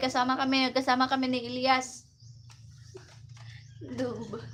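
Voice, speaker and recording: Noticeable background noise sits under speech that proceeds at a fairly slow pace. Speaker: livestreamer. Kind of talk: casual livestream chat with viewers.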